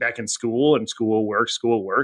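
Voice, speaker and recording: In an unremarkable speaking voice, a man with an American accent talks at a fairly quick pace and medium pitch, with ordinary pitch variation. The sound is dry and close with no echo over a quiet background. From US Midwest (Janesville, Wisconsin). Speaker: insurance data executive. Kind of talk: interview.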